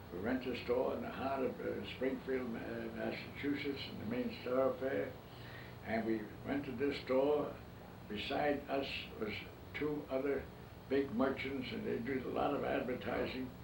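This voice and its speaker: A man with an American accent speaks at a moderate pace and a medium pitch, his intonation fairly even. Long, frequent pauses break up his speech, with noticeable background noise and audible room echo. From New York City. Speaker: businessman. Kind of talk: interview. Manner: halting.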